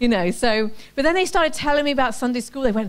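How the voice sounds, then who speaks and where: With an English accent, a woman speaks at a high pitch. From England. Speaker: ministry event coordinator and speaker. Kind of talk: testimony. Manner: casual, conversational.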